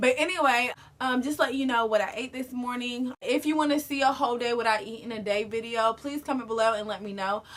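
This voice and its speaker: A woman speaks at a high pitch with ordinary pitch variation. She keeps a fairly quick pace with hardly any pauses. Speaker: lifestyle vlogger. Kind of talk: casual vlog talk to camera. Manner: fast.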